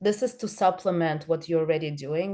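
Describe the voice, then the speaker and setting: A woman speaks with a non-native accent and a fairly low pitch. Her tone is dark and mellow, over a quiet background. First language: not English. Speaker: social media consultant for realtors. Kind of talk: online training presentation. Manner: halting, many fillers.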